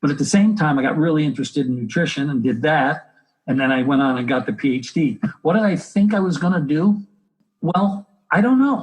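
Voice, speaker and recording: Speaking at a fairly quick pace with lively intonation, a man has an American accent. His voice is somewhat breathy. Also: fairly high pitch for a man. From United States. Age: 60s. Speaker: health educator and exercise physiologist. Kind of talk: interview.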